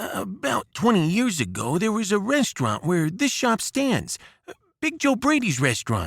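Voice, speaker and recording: Putting on a character voice, a man speaks at a moderate pace with a high pitch and very wide pitch swings. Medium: read story. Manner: talkative, hesitant.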